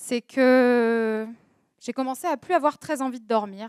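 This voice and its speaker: The woman's high-pitched voice comes through with a dry, close sound and no echo. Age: 30s. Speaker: social media agency owner, talk speaker. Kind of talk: personal testimony talk. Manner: hesitant, many fillers.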